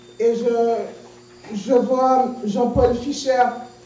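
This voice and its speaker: In a room with audible echo and light background noise, a woman speaks at a high pitch. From Saint-Martin. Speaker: activist and candidate. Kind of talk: campaign speech. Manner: passionate.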